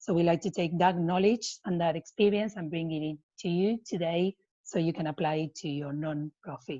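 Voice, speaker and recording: A woman with a non-native accent speaks at a moderate pace in a fairly low pitch, with a dark, mellow tone. Her pitch variation is ordinary, and the sound is dry and close with no echo. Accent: non-native English speaker. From Argentina. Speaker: non-profit program manager and coach. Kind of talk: webinar presentation.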